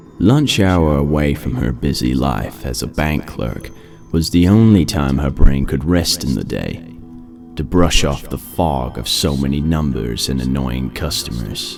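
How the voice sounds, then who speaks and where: With music in the background, a man speaks at a fairly slow pace in a very deep, low voice with ordinary pitch variation. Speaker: voice-over narrator. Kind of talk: horror story narration.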